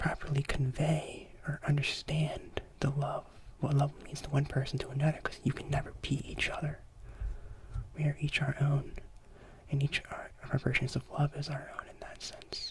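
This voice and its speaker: A man whispers at a moderate pace. He leaves long, frequent pauses. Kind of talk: ASMR lecture. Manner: soft-spoken, whispery.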